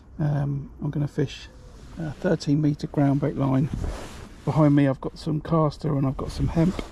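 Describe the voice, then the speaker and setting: A man at a moderate pace, monotone and flat in intonation, amid noticeable background noise. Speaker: match angler streaming live. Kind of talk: live fishing commentary. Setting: outdoors on a riverbank. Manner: hesitant, many fillers.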